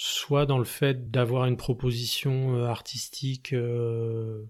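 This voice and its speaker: A somewhat breathy man's voice at a medium pitch, with fairly even intonation, on a very clean recording with a silent background. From Paris region, France. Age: 40s. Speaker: musician. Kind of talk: interview. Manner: halting.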